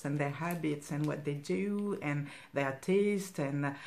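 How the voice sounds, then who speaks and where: A woman speaks with a French accent. Audible room echo is present. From France, Cameroonian parents. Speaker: stitching vlogger. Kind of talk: casual personal talk. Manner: halting, many fillers.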